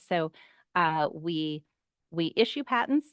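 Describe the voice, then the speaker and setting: Recorded dry and close with no echo and a quiet background, a woman speaks with lively intonation. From US East Coast. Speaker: patent office outreach speaker. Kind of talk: online workshop presentation. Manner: fast.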